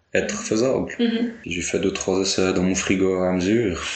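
Audible room echo surrounds a man speaking at a moderate pace in a fairly low pitch. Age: 20s. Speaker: winegrower. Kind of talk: casual interview.

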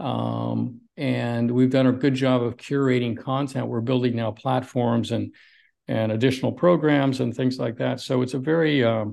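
Against a quiet background, a man with a plain, everyday voice talks at a moderate pace, medium in pitch, with fairly even intonation. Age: 60s. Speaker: cardiologist and longevity doctor. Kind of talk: interview.

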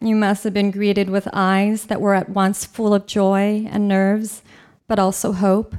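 The recording is very clean, with a silent background. A woman at a medium pitch speaks at a moderate pace with monotone, flat intonation. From California. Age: 40s. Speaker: storyteller. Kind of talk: storytelling performance. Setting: stage with audience.

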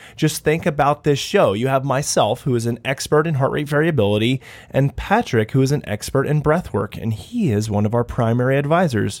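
The recording is very clean, with a silent background. Speech moves at a fairly quick pace with ordinary pitch variation. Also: man, medium pitch for a man, hardly any pauses. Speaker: podcast host. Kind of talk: casual interview. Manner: halting, filler-heavy.

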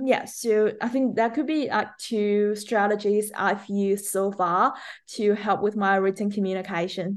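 A woman with a Chinese accent talks at a moderate pace, fairly high in pitch, with fairly even intonation and a quiet background. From China. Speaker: speech pathologist. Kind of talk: interview.

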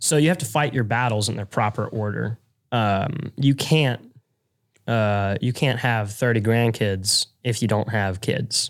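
This man has an unremarkable speaking voice, medium pitch, and ordinary pitch variation, at a fairly slow pace. The recording is very clean, with a silent background. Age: young. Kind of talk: casual chat.

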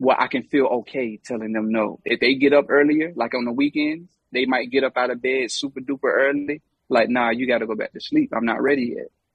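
Here is a man with a North Carolina accent. He talks at a fairly quick pace. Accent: Southern US, North Carolina. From US South, Charlotte, North Carolina. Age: 30s. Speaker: hip hop artist. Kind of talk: casual chat.

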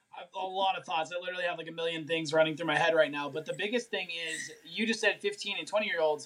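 Very fast speech from a man with a high pitch, fairly even intonation and hardly any pauses, against noticeable background noise. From Colorado, US. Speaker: health and mindset coach. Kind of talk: live-stream interview.

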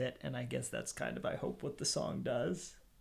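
A man with an American accent speaks at a medium pitch. Vocal fry runs through his voice. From Pennsylvania, Harrisburg. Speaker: musician. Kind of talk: casual chat. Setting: in-person recording in a house. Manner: halting, repeats words.

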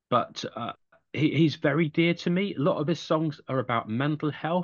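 A man with an English accent at a moderate pace. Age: 50s. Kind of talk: interview.

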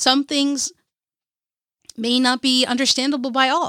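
Raised and projected, the voice moves at a fairly slow pace in a dry, close sound with no echo on a very clean recording with a silent background. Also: woman. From Kerala, India. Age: 30s. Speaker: podcaster. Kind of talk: motivational solo podcast. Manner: animated.

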